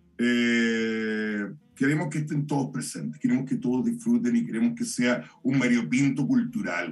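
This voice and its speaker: This man's voice is fairly high in pitch, with very wide pitch swings. He speaks at a moderate pace. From Chile, Santiago. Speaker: poet and performer. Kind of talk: casual chat. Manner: halting.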